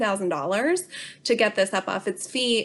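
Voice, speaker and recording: With an American accent and a fairly high pitch, a woman talks at a moderate pace. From US, Bucks County, Pennsylvania. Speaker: tourism marketing director. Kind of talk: interview.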